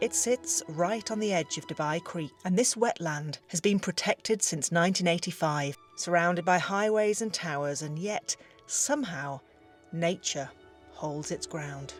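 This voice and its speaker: With music in the background, a woman with a British accent speaks at a fairly slow pace in a fairly low voice with ordinary pitch variation. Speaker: voice actor. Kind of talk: travel vlog talk to camera.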